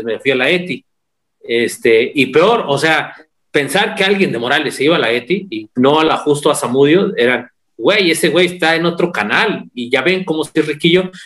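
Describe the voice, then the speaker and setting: At a moderate pace, a man with an unremarkable speaking voice talks at a fairly high pitch with lively intonation. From Mexico, San Luis Potosí. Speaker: podcast guest. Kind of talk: casual chat.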